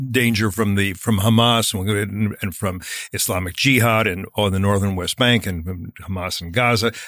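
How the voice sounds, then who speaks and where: On a very clean recording with a silent background, a man talks at a very fast pace with a fairly low pitch and fairly even intonation. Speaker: podcast host. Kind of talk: interview. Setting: studio.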